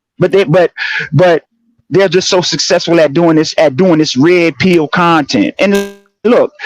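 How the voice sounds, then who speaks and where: Speaking with a New Orleans accent, a man with a high pitch talks at a fairly slow pace with ordinary pitch variation and very even loudness in a dry, close sound with no echo. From New Orleans, US South. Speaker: livestream panelist, social commentator. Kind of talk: heated livestream commentary. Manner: animated; halting, many repetitions.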